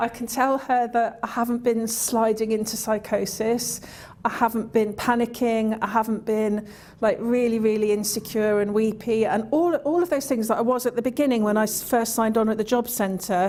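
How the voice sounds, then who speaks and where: A woman with a British accent, fairly high in pitch, at a moderate pace, with very even loudness and fairly even intonation. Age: 60s. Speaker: employment support client. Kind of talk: interview testimony. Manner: halting.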